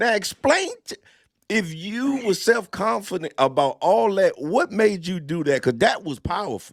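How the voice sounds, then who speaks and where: Speaking at a fairly slow pace, a man uses a high pitch and an animated tone. His pitch swings very widely. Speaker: podcast host, comedian and military veteran. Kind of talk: interview.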